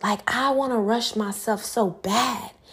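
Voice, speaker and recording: Animated in tone, a woman with a medium-pitched voice speaks with ordinary pitch variation. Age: 20s. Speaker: podcast host and dance instructor. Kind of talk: casual solo podcast monologue.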